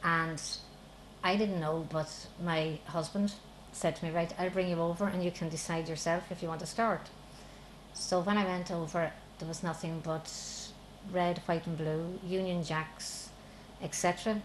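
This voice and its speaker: A woman with a southern Irish accent talks in a monotone, with fairly low pitch and flat intonation. She leaves long, frequent pauses. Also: moderate pace. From Republic of Ireland. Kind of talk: interview testimony.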